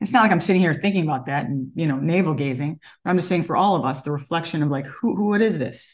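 A woman's very fast, animated speech with a New York accent, fairly low in pitch and lively in intonation. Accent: American English, New York. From upstate New York. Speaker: person living with Parkinson's. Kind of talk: interview.

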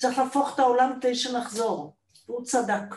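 Audible room echo surrounds a woman whose somewhat breathy voice moves at a fairly slow pace. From Israel. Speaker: theatre director and manager. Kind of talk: panel discussion. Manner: animated.

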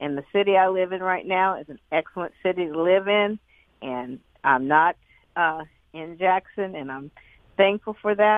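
At a moderate pace, a woman of medium pitch talks with a Southern US accent. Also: ordinary pitch variation, big swings in loudness. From US South. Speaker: caller. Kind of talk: call-in talk radio. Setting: phone call.

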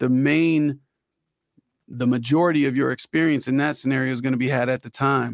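This man has an unremarkable speaking voice, medium in pitch, with ordinary pitch variation at a moderate pace. The very clean recording has a silent background and a dry, close sound with no echo. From Florida, Orlando. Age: 40s. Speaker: rapper. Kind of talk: casual chat.

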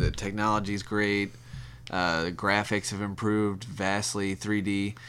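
The speaker uses an ordinary speaking voice at a moderate pace, with ordinary pitch variation. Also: man. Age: 30s. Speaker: podcast guest, gamer. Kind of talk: casual chat.

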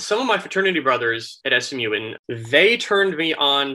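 Using a normal speaking voice, a man with an American accent talks at a medium pitch with ordinary pitch variation. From Florida. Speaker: app founder and CEO. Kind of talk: podcast interview.

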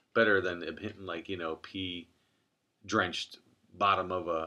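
With an American accent, a man speaks in a bright, sharp tone with ordinary pitch variation. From US Midwest, Cleveland, Ohio. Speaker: podcast host. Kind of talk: casual chat. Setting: in a car. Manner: loud.

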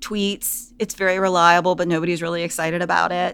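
Monotone, flat intonation with an American accent. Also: woman. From US South. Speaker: business professor. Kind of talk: interview.

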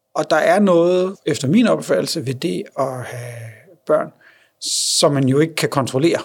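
Using a plain, everyday voice, a man speaks with a fairly high pitch and lively intonation. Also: fairly slow pace. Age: 30s. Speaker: blind father. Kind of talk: interview. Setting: on location.

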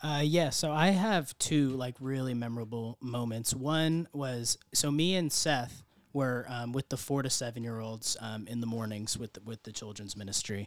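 With an ordinary speaking voice, a man talks at a moderate pace and medium pitch, using ordinary pitch variation and hardly any pauses. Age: 20s. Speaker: mission trip volunteer. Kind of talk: interview. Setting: studio.

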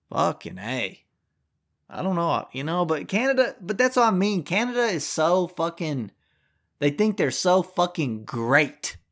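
In a very clean, silent recording, a man with an American accent speaks in a furious tone at a fairly slow pace, his high voice making very wide pitch swings. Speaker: podcast host. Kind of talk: angry rant. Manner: furious, loud, profane, ranting.

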